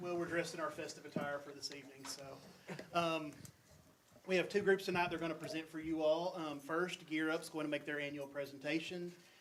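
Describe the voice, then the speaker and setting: A man of fairly high pitch at a fairly quick pace, in a monotone, flat intonation. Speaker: high school administrator. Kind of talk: introduction at a meeting. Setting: school board meeting room. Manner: loud.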